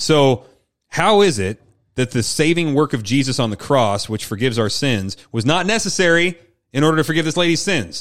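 At a moderate pace, a man with fairly high pitch makes very wide pitch swings on a very clean recording with a silent background. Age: 30s. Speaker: pastor and podcast host. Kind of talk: casual Bible discussion.

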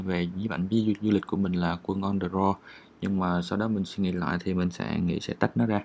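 The recording is very clean, with a silent background. The pace is moderate. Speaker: podcast host and travel photographer. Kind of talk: casual monologue while editing photos. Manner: relaxed, confiding.

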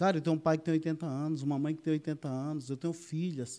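In a very clean recording with a silent background, a man's voice comes through. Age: 50s. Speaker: military police officer and political candidate. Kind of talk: podcast interview.

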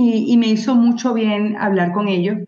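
A woman talks at a fairly slow pace. Her voice is fairly high. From Venezuela. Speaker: journalist and mother of children with diabetes. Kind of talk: casual interview conversation.

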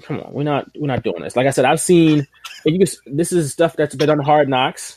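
Recorded dry and close with no echo, a man with an American accent, fairly high pitch and an ordinary speaking voice talks at a fairly quick pace. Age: 30s. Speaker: wrestling podcast host. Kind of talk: casual chat.

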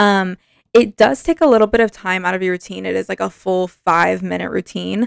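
Speaking fairly quickly, a woman comes through in a dry, close sound without any echo. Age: 20s. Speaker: podcast host. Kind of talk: casual chat.

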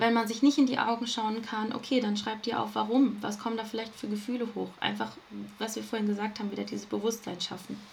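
With audible room echo, a woman speaks very fast in a fairly high, monotone voice with flat intonation. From Ruhr area, Germany. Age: 20s. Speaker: self-love coach. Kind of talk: podcast interview.

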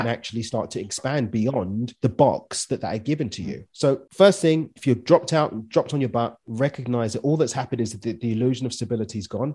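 A man at a very fast pace with a London accent, somewhat breathy, in a medium pitch with ordinary pitch variation. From East London, England. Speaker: business and mindset coach. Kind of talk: casual interview.

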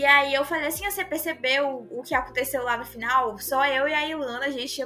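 A woman's high-pitched, bright, sharp voice, raised and projected, at a fairly quick pace. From Brazil, Northeast. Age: 20s. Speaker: film content creator. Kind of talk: casual chat. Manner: fast.

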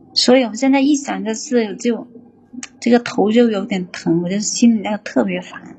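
A woman talks at a moderate pace in a fairly high pitch, with ordinary pitch variation. Noticeable background noise can be heard behind her. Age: 30s. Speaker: factory worker calling in for advice. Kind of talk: advice call-in.

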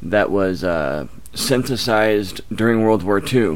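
Talking at a fairly slow pace, a man has a normal speaking voice with a fairly low pitch and ordinary pitch variation. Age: 30s. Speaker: YouTuber on addiction recovery. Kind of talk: casual chat.

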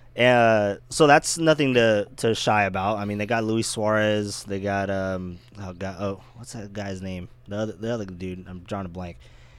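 A plain, everyday voice moves at a moderate pace with hardly any pauses and ordinary pitch variation. Its loudness swings widely. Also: man, fairly low pitch for a man. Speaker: baseball podcast host. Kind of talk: casual chat.

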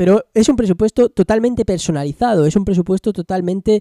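Lively intonation from a man with a dark, mellow tone, moderate pace, and a dry, close sound with no echo. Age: 20s. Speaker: podcaster, former graffiti business owner. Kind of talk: solo podcast monologue. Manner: casual, hesitant with many fillers.

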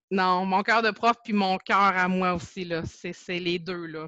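A woman's medium-pitched voice at a very slow pace, dry and close with no echo, over a quiet background. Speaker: Facebook group administrator, teacher. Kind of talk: casual interview.

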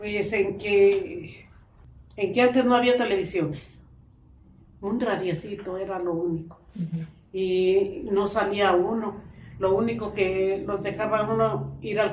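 A woman's medium-pitched voice at a very slow pace with fairly even intonation, amid audible room echo and noticeable background noise. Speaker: interviewed grandmother. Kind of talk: interview answers.

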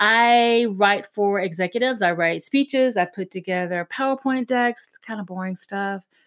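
A woman speaks at a medium pitch and a moderate pace, with ordinary pitch variation. The recording is very clean, with a silent background. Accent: Southern US. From US South, South Carolina. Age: 40s. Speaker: podcast host. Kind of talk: casual monologue.

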